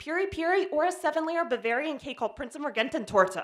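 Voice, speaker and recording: Over a quiet background, a woman with an American accent talks at a very fast pace and high pitch, her voice making very wide pitch swings. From Pennsylvania. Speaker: development editor telling a personal story; presenter. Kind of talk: short presentation talk. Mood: humorous, lively. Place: stage. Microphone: handheld.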